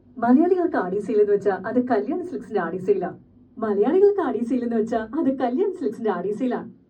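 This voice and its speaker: Over noticeable background noise, a woman with a fairly high pitch speaks with very wide pitch swings. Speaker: dubbing artist. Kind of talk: TV commercial read. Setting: studio.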